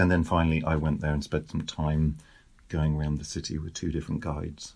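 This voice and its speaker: A man with a British accent, very deep, low pitch and a fairly quick pace. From Britain. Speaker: author. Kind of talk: interview.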